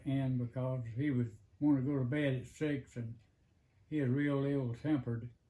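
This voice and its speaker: A man with a Southern US accent, somewhat breathy, his dark, mellow tone at medium pitch, fairly even in intonation and fairly slow in pace. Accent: Southern American. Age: 80s+. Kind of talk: interview answer. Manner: hesitant, halting, many fillers.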